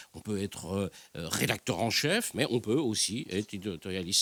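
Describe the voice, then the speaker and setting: A man speaking at a fairly slow pace. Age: 60s. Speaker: newspaper journalist and columnist. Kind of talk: panel debate. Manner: halting, many hesitations.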